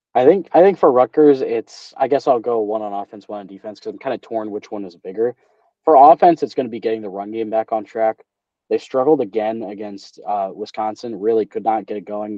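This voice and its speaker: In an American accent, a man with an ordinary speaking voice talks at a fairly quick pace, his medium pitch showing ordinary variation while his loudness swings widely. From New Jersey. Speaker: sports podcast host. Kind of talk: casual chat. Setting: video call.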